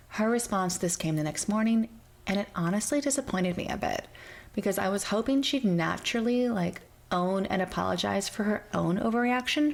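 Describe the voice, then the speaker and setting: Soft-spoken, a woman talks at a moderate pace and medium pitch. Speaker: storyteller. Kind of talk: reddit story reading.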